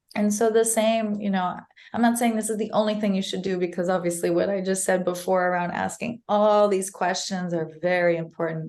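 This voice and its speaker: A woman with a plain, everyday voice speaks at a fairly quick pace. Her pitch is medium and her intonation fairly even. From United States. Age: 30s. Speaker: mental health advocate. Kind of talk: podcast interview.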